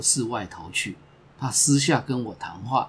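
A man with a medium pitch and a somewhat breathy voice speaks at a very slow pace. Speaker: podcast host. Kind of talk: scripted narration.

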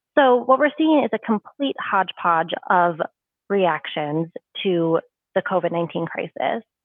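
Speaking very slowly with an American accent, a woman at medium pitch makes very wide pitch swings. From Minnesota, US (St. Paul). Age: 20s. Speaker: law graduate and activist. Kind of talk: interview.

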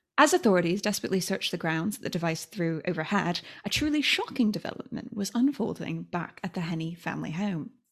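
Breathing somewhat breathily, a woman races at a very fast pace with lively intonation and hardly any pauses, in a very clean recording with a silent background. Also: medium pitch for a woman. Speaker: podcast host. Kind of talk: casual chat.

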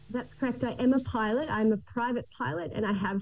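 A woman with an Australian accent speaks at a fairly quick pace, with ordinary pitch variation. Noticeable background noise is present. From Australia, Gold Coast. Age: 30s. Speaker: island resort family operator and pilot. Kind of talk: interview.

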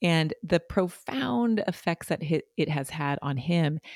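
With a normal speaking voice, a woman of fairly low pitch talks at a fairly slow pace with lively intonation, the sound dry and close with no echo. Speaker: podcast co-host. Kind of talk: ad read.

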